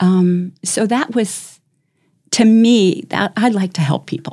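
A woman's somewhat breathy, dark, mellow tone at medium pitch, with ordinary pitch variation and an American accent. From US Midwest, Chicago suburbs. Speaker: community volunteer, guest. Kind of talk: casual interview.

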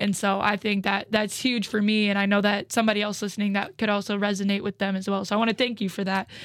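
At a very fast pace with hardly any pauses, a woman speaks at a medium pitch in a monotone, flat intonation and very even loudness. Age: 20s. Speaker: podcast host and college basketball player. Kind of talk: casual interview.

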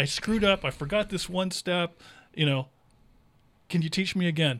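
A man with an American accent, high-pitched and very fast, with ordinary pitch variation, on a very clean recording with a silent background. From California, raised from age eight. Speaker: insurance broker. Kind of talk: casual interview chat.

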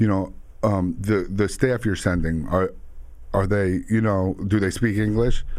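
Here is a man with a New York accent. His pitch is fairly low. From Long Island and Queens, New York. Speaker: entrepreneur, moving business owner. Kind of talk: casual interview.

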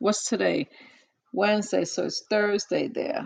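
Vocal fry runs through this woman's medium-pitched voice. She talks at a fairly slow pace with ordinary pitch variation. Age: 50s. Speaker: podcast host. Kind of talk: casual chat. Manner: animated.

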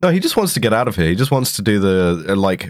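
Here a man speaks with a British accent. His husky voice sits fairly low. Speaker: podcast co-host. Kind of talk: casual political comedy chat. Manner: profane, sardonic.

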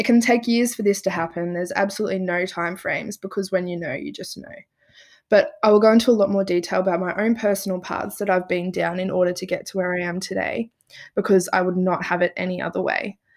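Speaking very fast with an Australian accent, a woman uses a medium pitch and fairly even intonation. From rural north-east Victoria, Australia. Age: 20s. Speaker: podcast host, psychology student. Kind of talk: casual chat.

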